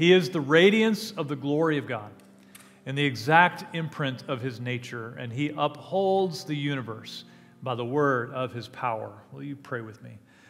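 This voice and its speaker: Faint music sits in the background. A man talks over it at a moderate pace. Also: big swings in loudness. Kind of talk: call to worship, scripture reading and prayer. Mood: warm, reverent. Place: church. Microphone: headset.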